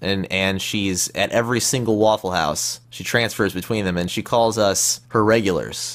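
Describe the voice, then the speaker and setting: A man with a Midwestern accent, fairly low in pitch, at a moderate pace with ordinary pitch variation. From Midwestern US. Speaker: podcast participant. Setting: online voice chat. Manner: casual, rambling.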